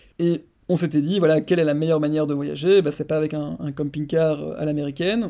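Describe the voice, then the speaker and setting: This man has a fairly high pitch, a fairly quick pace and fairly even intonation. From Belgium. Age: 30s. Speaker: marketing director. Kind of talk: interview. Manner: halting.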